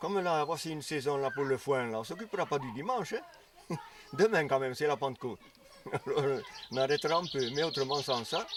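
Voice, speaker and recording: A man's lively intonation over noticeable background noise. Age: 70s. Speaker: farmer. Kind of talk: interview testimony. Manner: halting.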